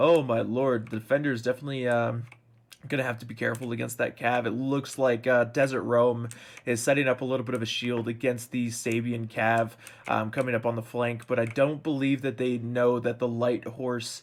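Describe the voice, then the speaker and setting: Monotone, flat intonation from a man at a fairly quick pace. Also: medium pitch for a man. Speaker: gaming commentator. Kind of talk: live game commentary. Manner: casual, filler-heavy.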